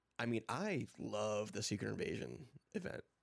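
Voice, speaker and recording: A man speaks quietly. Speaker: comics podcast co-host. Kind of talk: casual chat. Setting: live stream.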